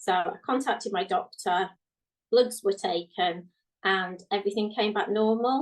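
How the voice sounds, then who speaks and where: With a British accent, a woman speaks at medium pitch at a fairly slow pace with ordinary pitch variation. Her loudness stays very even. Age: 40s. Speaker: guest. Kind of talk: casual chat.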